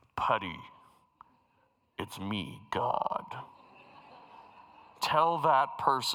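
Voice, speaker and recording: A man's booming, put-on character voice at a very slow pace, with long, frequent pauses. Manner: grand, commanding.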